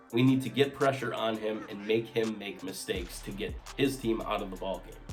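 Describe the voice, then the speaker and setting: Over music in the background, a man talks at a fairly quick pace with big swings in loudness. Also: medium pitch for a man, ordinary pitch variation. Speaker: sports commentator. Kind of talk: casual talk to camera.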